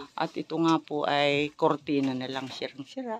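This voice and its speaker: A woman speaks at a fairly slow pace. The sound is dry and close, with no echo. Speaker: charity vlogger. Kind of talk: vlog walkthrough and interview. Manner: loud.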